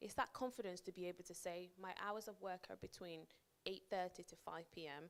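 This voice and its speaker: This woman has a medium-pitched voice and speaks with a northern English accent. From northern England (Preston). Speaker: project manager giving a career talk. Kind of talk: workshop talk to an audience. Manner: conversational, with frequent repetitions and fillers.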